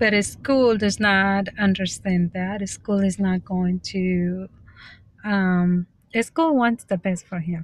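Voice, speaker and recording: A woman's medium-pitched voice at a very slow pace, with ordinary pitch variation, in a very clean recording with a silent background. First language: Spanish. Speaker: vlogger practicing speaking. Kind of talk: casual vlog monologue. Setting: self-recorded on camera. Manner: halting, with fillers and restarts.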